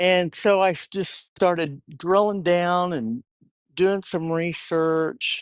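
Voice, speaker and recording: The speech moves at a very slow pace. The background is quiet. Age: 60s. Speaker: union member. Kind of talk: casual interview.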